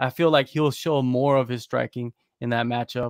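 Speaking at a moderate pace, a man with an American accent keeps his intonation fairly even. The recording is very clean and dry, close with no echo, and the background silent. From United States. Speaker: MMA journalist. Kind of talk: casual chat.

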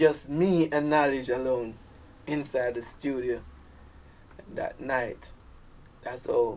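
Speaking in a Jamaican accent, a man with a fairly high pitch goes at a very slow pace, with fairly even intonation, big swings in loudness and long, frequent pauses. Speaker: dancehall artist. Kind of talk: casual interview chat.

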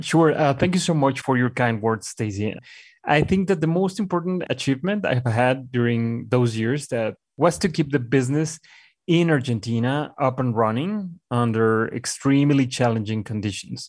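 A man with a Mexican accent speaks at a moderate pace in a medium pitch, his intonation lively, on a very clean recording with a silent background. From Mexico. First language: Spanish. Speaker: communications executive. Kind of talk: interview. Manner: hesitant.

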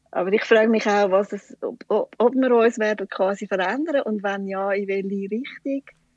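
In a dry, close recording with no echo, a woman talks at a moderate pace with a fairly high pitch and ordinary pitch variation. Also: hardly any pauses. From Switzerland, canton Schwyz (Wollerau). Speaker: shop owner. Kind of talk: interview. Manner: hesitant, many fillers.

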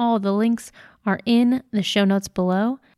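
A woman with a plain, everyday voice talks at a fairly high pitch and a moderate pace, her intonation fairly even and the sound dry and close with no echo. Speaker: podcast announcer. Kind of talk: scripted narration.

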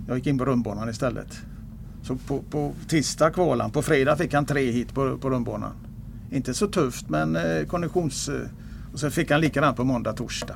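Lively intonation with vocal fry. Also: man, medium pitch for a man, moderate pace. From Gothenburg, western Sweden. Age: 70s. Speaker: retired harness racing trainer. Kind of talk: interview.

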